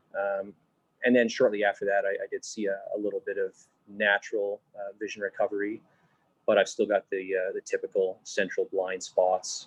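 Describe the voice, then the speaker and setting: A man at a moderate pace, the sound dry and close with no echo. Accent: Canadian. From southern Alberta, Canada. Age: 20s. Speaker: former ski guide, visually impaired advocate. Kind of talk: interview. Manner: hesitant, many fillers.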